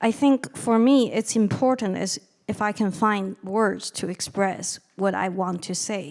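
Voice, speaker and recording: A woman speaks fairly slowly with a Chinese accent. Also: medium pitch for a woman, ordinary pitch variation. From China. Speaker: novelist and lecturer. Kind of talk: audience Q&A answer.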